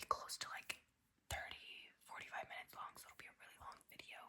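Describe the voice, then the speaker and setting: A woman is speaking. She whispers. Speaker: ASMR creator. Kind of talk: whispered ASMR ramble to camera. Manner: whispered, casual, chatty.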